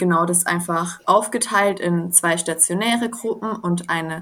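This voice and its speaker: This woman has a normal speaking voice at medium pitch. She talks at a fairly slow pace with ordinary pitch variation. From southern Baden, near Swiss border. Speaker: social work student. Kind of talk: interview.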